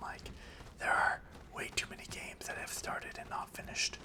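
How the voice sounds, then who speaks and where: Calm whispering at a moderate pace over noticeable background noise. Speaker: ASMR gaming creator. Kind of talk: casual gameplay commentary. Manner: calm, soft-spoken.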